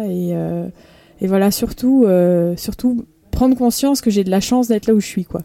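A dark, mellow tone marks this voice. It is a woman's, at a medium pitch. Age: 30s. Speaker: professional triathlete. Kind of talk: interview. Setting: on location at the race.

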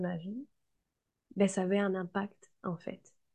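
Her voice is medium in pitch, and this woman speaks with a dark, mellow tone. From France. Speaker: entrepreneur and singer-songwriter. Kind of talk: interview.

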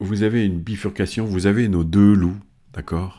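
Recorded very cleanly against a silent background, the voice has a dark, mellow tone, ordinary pitch variation, and a fairly slow pace. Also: man. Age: 50s. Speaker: performance coach. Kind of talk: motivational talk. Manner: hesitant, many fillers.

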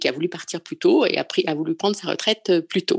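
Recorded dry and close with no echo, the speaker is a woman. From Paris. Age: 60s. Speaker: concept store owner. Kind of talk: interview. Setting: video call. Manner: halting.

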